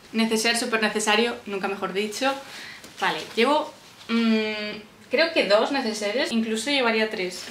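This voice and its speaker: Over light background noise and audible room echo, a woman talks at a moderate pace in a fairly high pitch. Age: 20s. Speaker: civil service exam candidate; vlogger. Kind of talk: casual talk to camera. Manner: chatty, relaxed.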